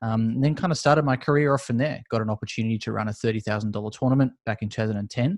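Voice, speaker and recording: Very fast speech comes from a man with an Australian accent, his fairly low pitch showing ordinary variation and the sound dry and close with no echo. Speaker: esports business owner. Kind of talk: interview. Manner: casual, filler-heavy.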